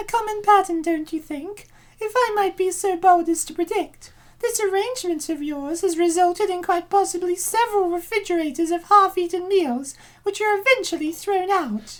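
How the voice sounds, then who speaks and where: Putting on a squeaky character voice, a woman speaks at a moderate pace with an extremely high pitch and ordinary pitch variation. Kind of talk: clinical voice-over. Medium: fan dub. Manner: measured, precise, detached.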